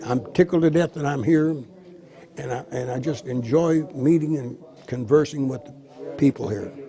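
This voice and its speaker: With an American accent, a man talks at a moderate pace in a fairly high pitch with ordinary pitch variation, over noticeable background noise. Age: 80s+. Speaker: war veteran. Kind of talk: interview.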